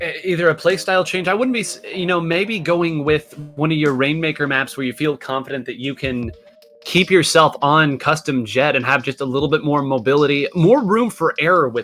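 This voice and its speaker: The speech runs at a fairly quick pace while music sounds in the background. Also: man. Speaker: esports commentator. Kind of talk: live commentary.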